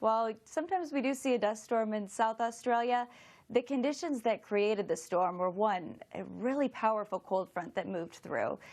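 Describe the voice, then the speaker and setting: In a Florida accent, a woman with a fairly high pitch talks at a moderate pace with lively intonation. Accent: American (Florida). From US, Florida. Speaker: meteorologist. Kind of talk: TV weather interview.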